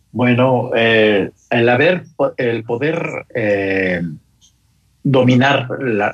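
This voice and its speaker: This is a man at a medium pitch. His pitch variation is ordinary. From Mexico City. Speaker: motorcyclist. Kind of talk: casual chat. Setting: phone call. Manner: halting.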